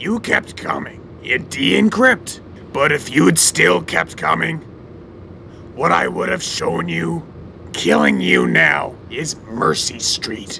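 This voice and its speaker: A man speaks at a fairly slow pace in a menacing tone, with clear background noise behind him. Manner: gloating, menacing, sneering.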